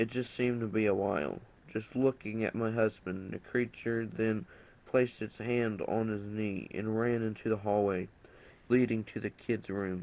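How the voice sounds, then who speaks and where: A man with a fairly low pitch has an ordinary speaking voice. He talks at a moderate pace with fairly even intonation. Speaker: story narrator. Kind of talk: horror story reading.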